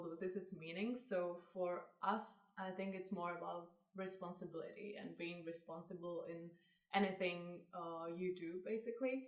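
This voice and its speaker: A woman speaks with a Czech accent, fairly slowly. Her intonation is fairly even, and room echo is audible. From Czech Republic. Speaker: fashion brand co-founder. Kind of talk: interview.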